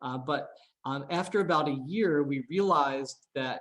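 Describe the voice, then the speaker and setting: This is a man speaking. His pitch is fairly high. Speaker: AI researcher. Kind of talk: seminar talk. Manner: many filler words.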